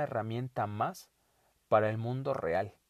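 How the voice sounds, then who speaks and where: Against a quiet background, a man speaks at a medium pitch in a dry, close sound with no echo. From Mexico, Puebla. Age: 30s. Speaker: podcast host, life coach. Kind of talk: solo monologue podcast. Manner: halting, frequent repetitions.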